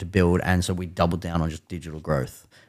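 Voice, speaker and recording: The recording is very clean, with a silent background. A man with an Australian accent speaks in a very deep, low voice with fairly even intonation. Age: 30s. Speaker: music media founder. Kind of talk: casual chat.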